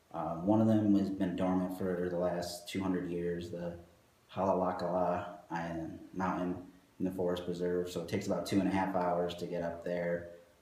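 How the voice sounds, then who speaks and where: With audible room echo, a man talks at a moderate pace in a very deep, low pitch and a monotone, flat intonation. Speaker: architect at a design firm. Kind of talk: interview. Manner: soft-spoken; hesitant with fillers.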